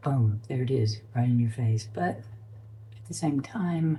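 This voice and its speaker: The speaker has an American accent. The pace is very slow. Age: 60s. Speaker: spiritual life vlogger. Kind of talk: personal vlog monologue. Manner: halting, many ums and restarts.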